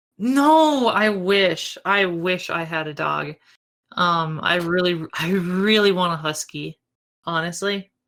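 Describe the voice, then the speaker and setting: A woman talks in an American accent at a fairly low pitch. Her pace is very slow. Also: ordinary pitch variation. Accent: Minnesotan, can be thick. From rural Minnesota. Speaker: speedrunner, podcast guest. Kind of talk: casual chat.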